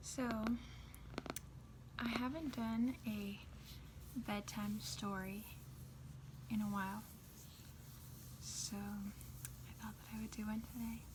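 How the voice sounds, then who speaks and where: Soft-spoken, a woman talks at a very slow pace with long, frequent pauses over noticeable background noise. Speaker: ASMR content creator. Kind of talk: casual chatty commentary to the audience.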